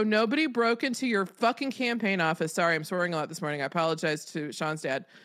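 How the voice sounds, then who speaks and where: Lively intonation and an animated tone mark a woman's speech. The recording is very clean, with a silent background. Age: 50s. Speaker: political podcast co-host. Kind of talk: casual political chat.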